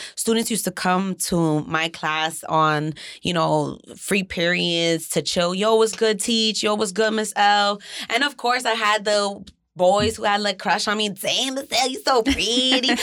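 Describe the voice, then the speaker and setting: On a very clean recording with a silent background, a woman with an American accent speaks at a fairly slow pace and medium pitch with ordinary pitch variation, in an ordinary speaking voice. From New Jersey, Jersey City. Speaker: content creator and former teacher. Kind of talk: casual interview conversation.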